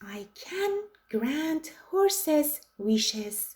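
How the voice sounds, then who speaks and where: A woman in a put-on character voice pitches high and swings her pitch very widely. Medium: read story.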